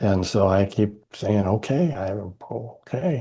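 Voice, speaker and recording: A man speaks at a very slow pace, fairly low in pitch. His somewhat breathy voice has a dark, mellow tone against a quiet background. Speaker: leadership development consultant and author. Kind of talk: interview conversation. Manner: halting, many fillers.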